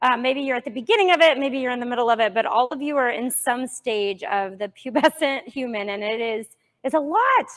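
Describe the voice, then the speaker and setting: A woman talks loudly at a fairly quick pace, her pitch high. The recording is very clean with a silent background. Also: ordinary pitch variation. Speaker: Montessori teacher. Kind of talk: parent workshop presentation. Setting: classroom with live audience, no microphone.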